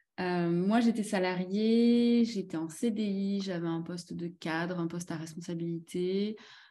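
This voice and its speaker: A woman speaks at a very slow pace with hardly any pauses. Her voice sits at a medium pitch with a dark, mellow tone. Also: fairly even intonation, quiet background. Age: 30s. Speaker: company finance and admin director. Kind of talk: casual chat.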